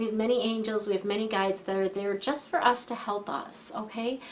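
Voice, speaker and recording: The speaker is a woman. Her pitch is fairly high. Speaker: feng shui coach and angel card reader. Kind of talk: tarot-style card reading to camera. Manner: hesitant, many fillers; softening voice.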